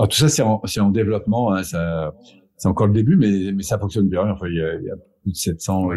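Speaking at a fairly quick pace, a man uses a fairly low, dark, mellow voice that is somewhat breathy, with ordinary pitch variation. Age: 50s. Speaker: personal development coach and trainer. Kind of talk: casual interview.

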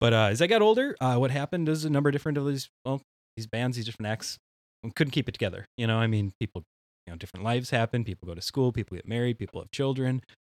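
In an Upper Midwest accent, a man talks at a very fast pace and medium pitch with ordinary pitch variation, his sound dry and close with no echo. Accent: Upper Midwest (Minnesota). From central Minnesota. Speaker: synthwave musician. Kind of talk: casual chat.

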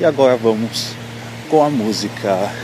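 The speaker has a Brazilian accent. Music plays behind the voice. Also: man. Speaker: electronic music podcast DJ host. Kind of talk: radio DJ patter introducing tracks between songs, with warm, romantic sign-offs. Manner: smooth, upbeat and affectionate, with a catchphrase-style delivery.

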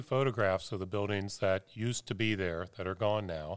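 An unremarkable speaking voice from a man with an American accent, fairly low in pitch, at a fairly quick pace. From Cincinnati, Ohio. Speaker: photographer. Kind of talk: casual chat.

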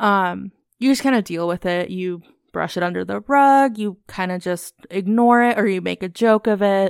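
Recorded very cleanly against a silent background with a dry, close sound and no echo, a woman of medium pitch speaks with an American accent at a moderate pace and ordinary pitch variation. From US (Virginia, Idaho, Alabama, Missouri). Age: 20s. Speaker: podcast co-host. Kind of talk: casual chat.

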